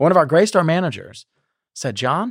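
Recorded very cleanly against a silent background, a man's voice sounds dry and close with no echo. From South Carolina, near Charleston. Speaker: state legislator and business founder. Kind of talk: interview. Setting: studio.

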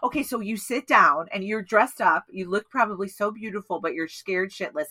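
A woman speaks at a fairly quick pace in a normal speaking voice, her pitch medium. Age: 40s. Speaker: podcast co-host. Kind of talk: casual chat.

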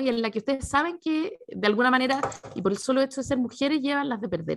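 High-pitched, a woman with a Chilean accent speaks with very wide pitch swings. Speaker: podcast host. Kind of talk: interview.

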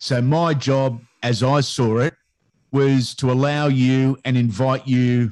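A man with an Australian accent, his voice medium in pitch and his intonation fairly even. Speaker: sports commentator. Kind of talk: casual interview chat.

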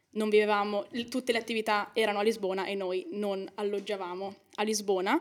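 A woman with an unremarkable speaking voice, fairly high in pitch, with fairly even intonation. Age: young. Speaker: law student. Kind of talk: podcast interview.

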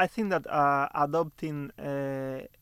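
A man's fairly high voice with a Spanish accent, at a very slow pace, on a very clean recording with a silent background. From Cuba (Santa Clara). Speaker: software researcher. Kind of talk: interview. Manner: halting, many fillers.

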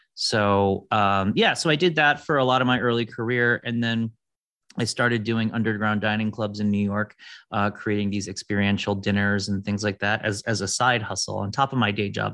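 Speaking at a fairly quick pace, a man with a fairly low pitch and a bright, sharp tone keeps his intonation fairly even against a quiet background. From US Midwest, Detroit. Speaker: food futurist. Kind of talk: interview.

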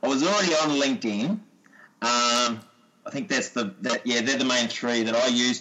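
Against noticeable background noise, a man with an Australian accent speaks at a moderate pace and medium pitch, with very even loudness and ordinary pitch variation. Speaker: sports coach and PE teacher. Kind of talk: casual interview chat.

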